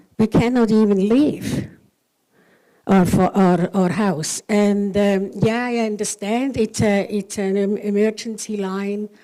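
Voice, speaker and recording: A woman speaks very slowly in a medium pitch with a dark, mellow tone, on a very clean recording with a silent background. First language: not English. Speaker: resident speaking at public meeting. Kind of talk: public comment at council meeting. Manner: halting.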